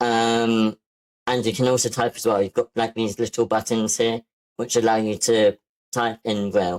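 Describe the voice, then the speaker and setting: The delivery is monotone and flat at a moderate pace, with a dry, close sound and no echo. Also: man, medium pitch for a man. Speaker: workshop instructor, self-taught web developer. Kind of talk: online workshop lecture. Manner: hesitant, many fillers.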